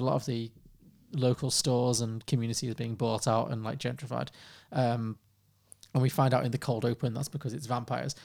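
A man with a plain, everyday voice and medium pitch talks at a fairly quick pace on a very clean recording with a silent background. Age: 30s. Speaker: film podcast co-host. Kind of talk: casual chat.

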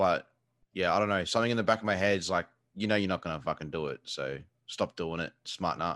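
Over a quiet background, a man with a very deep, low pitch talks at a very fast pace with ordinary pitch variation, the sound dry and close with no echo. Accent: Australian. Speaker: video game streamer. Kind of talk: casual chat. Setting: video call.

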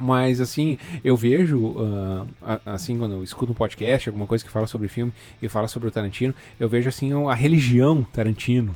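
A man speaks at a fairly quick pace in a medium pitch with a dark, mellow tone and ordinary pitch variation. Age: 30s. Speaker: podcast host. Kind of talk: casual chat. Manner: halting, with fillers and repetitions.

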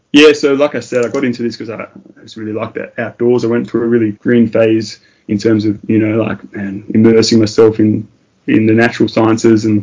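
Delivered at a fairly quick pace, the voice carries an Australian accent. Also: man. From Tasmania, Australia. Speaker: paramedic. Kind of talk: interview.

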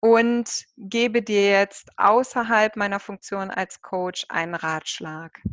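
Very slow speech with ordinary pitch variation. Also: woman. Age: 30s. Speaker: project manager and mentor. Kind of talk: interview.

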